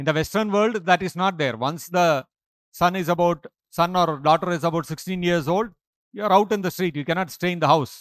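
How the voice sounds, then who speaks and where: Against a quiet background, a man with a high pitch talks at a fairly quick pace with ordinary pitch variation, and the sound is dry with no echo. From India. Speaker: monk lecturer. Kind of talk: lecture. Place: church. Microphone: podium.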